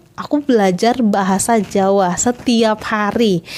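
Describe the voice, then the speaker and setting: Amid noticeable background noise, a woman with a fairly high pitch speaks in an animated tone at a fairly slow pace. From Southeast Sulawesi, Indonesia. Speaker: vlogger. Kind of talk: casual vlog talk.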